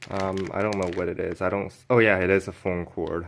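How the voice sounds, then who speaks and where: A man with a fairly low pitch speaks in a flat monotone at a moderate pace over noticeable background noise. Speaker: YouTuber doing a product unboxing. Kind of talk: unboxing video. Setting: home office. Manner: hesitant, many fillers; casual.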